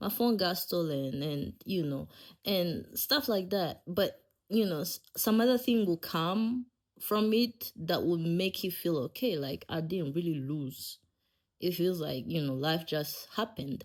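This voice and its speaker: Fairly slow and lively in intonation, a woman speaks with a fairly low pitch. The recording is very clean, with a silent background. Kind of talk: casual podcast storytelling. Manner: laid-back.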